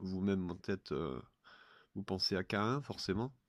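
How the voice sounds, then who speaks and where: A man speaks with a very deep, low voice. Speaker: religious commentator. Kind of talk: audio talk on religious eschatology. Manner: halting, many filler hesitations.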